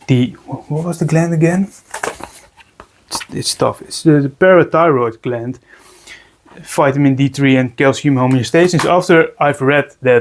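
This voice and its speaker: In a Dutch accent, a man speaks at a fairly slow pace. His voice sits fairly high and shows ordinary pitch variation. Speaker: reptile keeper, video creator. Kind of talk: casual tutorial vlog. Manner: halting, many repetitions and fillers.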